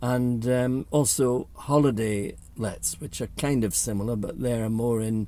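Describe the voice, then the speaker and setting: Fairly even intonation runs through a voice that is dark and mellow in tone. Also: man, medium pitch for a man, fairly slow pace. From northern England, Newcastle upon Tyne. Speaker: property investor. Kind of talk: casual vlog monologue. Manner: hesitant with fillers.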